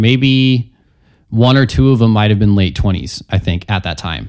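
In a very clean recording with a silent background, a man with a normal speaking voice talks at a moderate pace and a fairly low pitch, his intonation lively. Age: 20s. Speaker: guitarist and composer. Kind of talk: interview. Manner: casual.

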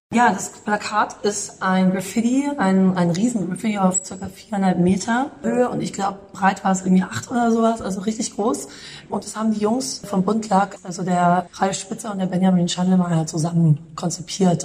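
A woman talks at a moderate pace with hardly any pauses, in a medium pitch. Her pitch variation is ordinary, and there is noticeable background noise. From Munich, Bavaria. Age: 30s. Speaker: calligrapher and artist. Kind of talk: interview.

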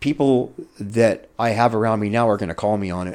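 A man with ordinary pitch variation keeps a moderate pace, the background quiet. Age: 50s. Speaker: rescue mission resident. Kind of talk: testimony.

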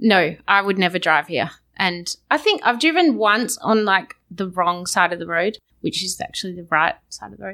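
With an Australian accent, a woman talks at a moderate pace in a bright, sharp, medium-pitched voice with vocal fry and big swings in loudness. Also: ordinary pitch variation. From Perth, Western Australia. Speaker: visiting colleague. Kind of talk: casual chat. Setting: studio.

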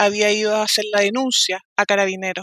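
A woman's fairly high voice comes through in a monotone, flat intonation, with a dry, close sound and no echo. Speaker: family court judge. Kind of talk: testimony.

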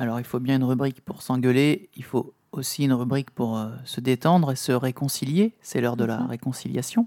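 A man at medium pitch and moderate pace, in dry, close sound with no echo. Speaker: podcast co-host. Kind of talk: casual chat.

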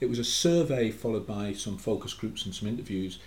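Against audible room echo, a man with a Geordie accent speaks at a fairly low pitch in a somewhat breathy voice. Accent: Geordie (Newcastle) English. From Newcastle, northeast England. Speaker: academic researcher. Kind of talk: casual chat.

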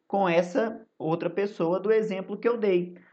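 A man talks at a fairly slow pace. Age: 20s. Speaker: history teacher. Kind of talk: recorded lesson for students. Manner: casual, many filler hesitations.

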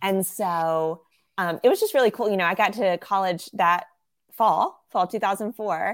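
A woman with an American accent speaks at a medium pitch with ordinary pitch variation. The recording is very clean, with a silent background. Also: moderate pace. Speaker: ministry worker. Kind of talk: casual interview conversation.

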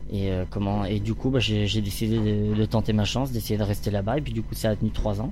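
Audible room echo surrounds the speech. The man moves along at a fairly quick pace. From France, Orléans region. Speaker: stage actor. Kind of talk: interview. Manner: halting.

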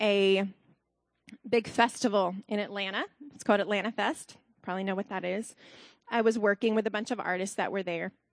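The sound is dry and close, with no echo. A woman speaks at a medium pitch with monotone, flat intonation. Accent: Southern US. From US South, Alabama. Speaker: costume designer. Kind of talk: testimony.

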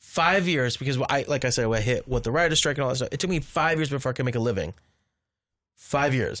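A man with an American accent at a very fast pace, with very even loudness, ordinary pitch variation, and a very clean recording against a silent background. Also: fairly high pitch for a man. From Southern California. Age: 40s. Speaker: filmmaker. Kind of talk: casual chat. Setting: outdoors.

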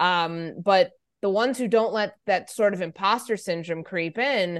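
A normal speaking voice with ordinary pitch variation comes through over a quiet background. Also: woman. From US Midwest, Chicago area. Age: 30s. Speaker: sports journalist and radio host. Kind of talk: interview conversation.

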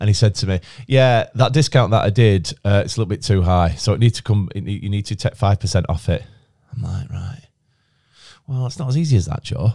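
A man with a fairly low pitch talks at a fairly quick pace in a dark, mellow, somewhat breathy tone with lively intonation, on a very clean recording with a silent background. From Chorley, Lancashire, England. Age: 30s. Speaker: podcast host, head of broadcasting at a recruitment firm. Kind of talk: casual chat. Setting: podcast studio. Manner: chatty, jokey.

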